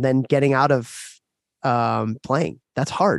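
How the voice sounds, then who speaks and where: On a very clean recording with a silent background, a man talks in a normal speaking voice with ordinary pitch variation. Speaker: podcast host and hockey coach. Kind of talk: casual podcast conversation.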